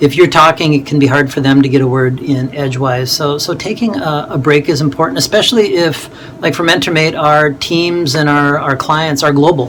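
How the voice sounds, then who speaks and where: Noticeable background noise behind a man's fairly high-pitched voice with fairly even intonation. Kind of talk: tutorial. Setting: home office in attic, video recording. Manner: fast; halting, many fillers and repeats.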